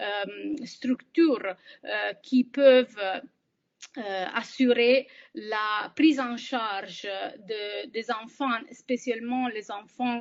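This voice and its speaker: A woman with a non-native accent speaks very slowly, with ordinary pitch variation and big swings in loudness. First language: not French (speaking French). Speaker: humanitarian aid worker. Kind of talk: webinar presentation. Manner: halting, many hesitations.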